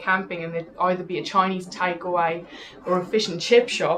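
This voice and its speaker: There is noticeable background noise as a woman with a South African accent speaks at a moderate pace and a medium pitch. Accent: Afrikaans South African. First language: Afrikaans. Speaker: TV presenter. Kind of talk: interview.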